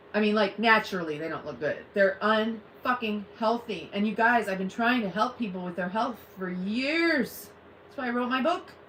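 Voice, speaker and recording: Against noticeable background noise, a woman talks at a moderate pace with a fairly high pitch and lively intonation. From US Midwest (Ohio). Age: 50s. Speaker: live streamer. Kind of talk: casual chat. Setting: live stream at home. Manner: animated.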